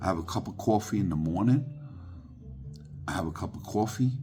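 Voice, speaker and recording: A man talks while music plays in the background. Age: 60s. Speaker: spiritual vlogger. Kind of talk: casual monologue to camera. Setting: sitting at home, evening. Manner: repetitive, halting with fillers.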